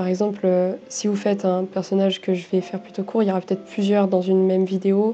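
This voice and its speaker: Over music in the background, a woman talks at a fairly quick pace at a medium pitch with monotone, flat intonation. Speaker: artist youtuber. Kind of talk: casual vlog narration over drawing. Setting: at home desk. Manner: hesitant, many fillers.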